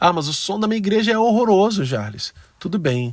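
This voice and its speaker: The speech moves at a moderate pace with very wide pitch swings, sounding dry and close with no echo. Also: man. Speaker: church music ministry teacher. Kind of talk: tutorial. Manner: conversational.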